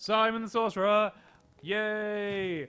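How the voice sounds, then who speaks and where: In a raised, projected voice, a man speaks at a high pitch with a bright, sharp tone. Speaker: game streamer. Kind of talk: casual live-stream chat. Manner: halting.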